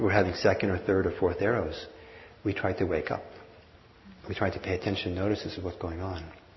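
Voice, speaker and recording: A man's very deep, low-pitched, somewhat breathy voice at a very fast pace, monotone and flat, with long, frequent pauses. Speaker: meditation teacher. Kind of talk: guided meditation. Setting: live class with audience, mic and hearing system.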